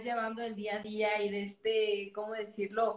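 Here is a plain, everyday voice. It moves at a fairly slow pace. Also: woman. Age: 20s. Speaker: podcast host. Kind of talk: casual interview chat.

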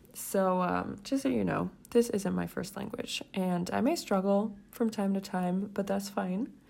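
Somewhat breathy and excited in tone, a woman talks at a fairly slow pace with hardly any pauses, medium pitch and ordinary pitch variation. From Switzerland. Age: 20s. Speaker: podcast host. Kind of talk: casual solo podcast introduction. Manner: hesitant, fillers, excited; searches for words at times.

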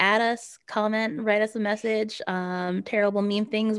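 A woman with an American accent uses a normal speaking voice, fairly high in pitch, with ordinary pitch variation. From New Jersey suburbs. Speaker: podcast co-host. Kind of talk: casual chat.

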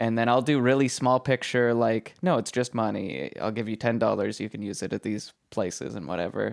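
A man with a plain, everyday voice speaks at medium pitch with ordinary pitch variation and hardly any pauses on a very clean recording, silent background. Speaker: podcast producer and co-host. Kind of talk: casual conversation.

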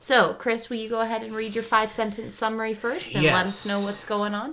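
Over noticeable background noise, a woman talks at a fairly high pitch and a fairly quick pace with fairly even intonation. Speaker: podcast co-host.

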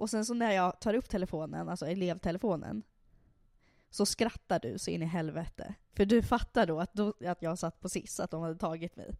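In a very clean recording with a silent background and a dry, close sound with no echo, a woman with a plain, everyday voice speaks at a medium pitch and a fairly quick pace, with ordinary pitch variation. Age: 20s. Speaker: podcast host. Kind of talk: casual chat.

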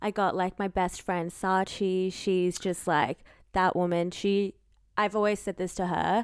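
A woman speaks at medium pitch and a fairly slow pace, her loudness very even. The recording is very clean, with a silent background. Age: 20s. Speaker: podcast co-host. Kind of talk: casual chat. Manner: loud, animated.

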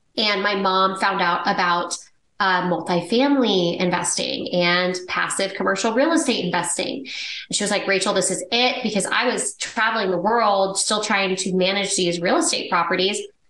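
A woman with an American accent uses a normal speaking voice at a medium pitch, keeping a moderate pace, very even loudness and ordinary pitch variation with hardly any pauses. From Texas. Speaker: real estate investor. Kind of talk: casual interview chat.

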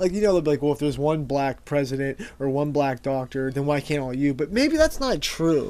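A man with a plain, everyday voice, fairly high pitch, ordinary pitch variation and hardly any pauses. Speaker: podcast co-host. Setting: studio. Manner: profane, casual.

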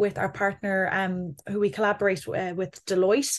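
A woman speaks with an Irish Midlands accent and fairly even intonation. The background is quiet. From Ireland, Athlone, County Westmeath. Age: 20s. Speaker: communications executive. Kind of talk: interview.

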